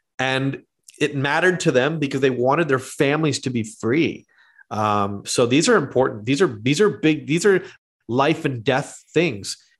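With a plain, everyday voice, a man speaks at a moderate pace in a fairly high pitch with ordinary pitch variation. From Canada. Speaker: teaching pastor and theologian. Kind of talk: casual interview conversation. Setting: remote call.

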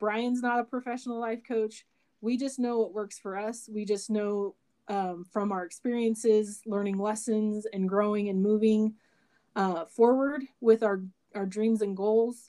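A woman with an American accent, fairly high-pitched, at a fairly slow pace and with fairly even intonation. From US West, Idaho. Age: 30s. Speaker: podcast co-host, rodeo photographer. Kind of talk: casual chat. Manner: talkative.

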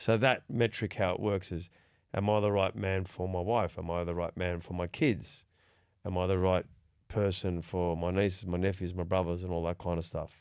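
A man speaks in an Australian accent with a very deep, low pitch. He keeps a moderate pace against a quiet background. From Sydney, Australia. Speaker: podcast host. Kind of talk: casual chat.

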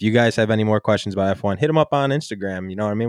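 A man speaks at a medium pitch with fairly even intonation, in a dry, close sound with no echo over a quiet background. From Buffalo area, western New York. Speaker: sports podcast host. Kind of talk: casual chat.

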